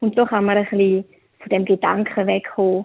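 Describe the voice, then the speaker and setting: A woman keeps a monotone, flat intonation at a medium pitch, speaking at a moderate pace. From eastern Switzerland. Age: 20s. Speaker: wedding planner. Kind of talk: interview.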